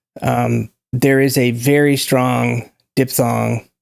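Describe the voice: The speaker has an American accent and a slightly mellow tone with vocal fry, moving at a very slow pace with little pitch movement. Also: man.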